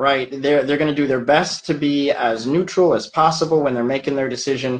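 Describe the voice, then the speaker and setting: A man with an American accent speaks at a moderate pace with ordinary pitch variation. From United States. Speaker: immigration attorney. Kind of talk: interview answers. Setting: video call. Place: office. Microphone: video call.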